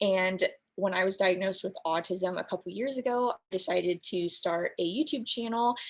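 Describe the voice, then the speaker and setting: Using an unremarkable speaking voice, a woman with an American accent talks at a moderate pace with ordinary pitch variation. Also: medium pitch for a woman. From US West Coast, San Diego. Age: 20s. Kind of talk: panel discussion. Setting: video call.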